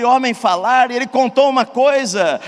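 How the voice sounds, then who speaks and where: With noticeable background noise, a man in an interior São Paulo accent speaks at a fairly slow pace in an extremely high pitch. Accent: Brazilian caipira (rural countryside). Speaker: pastor. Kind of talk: sermon.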